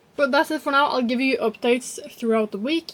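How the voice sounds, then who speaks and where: This woman talks at a fairly quick pace with ordinary pitch variation. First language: not English (English is third language). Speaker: book vlogger. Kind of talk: casual vlog.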